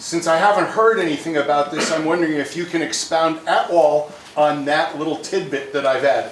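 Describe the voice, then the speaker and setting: A man's fairly high voice at a fairly quick pace, hardly any pauses, fairly even intonation, audible room echo and noticeable background noise. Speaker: audience member asking a question. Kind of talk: audience question. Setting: museum event with audience. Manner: loud.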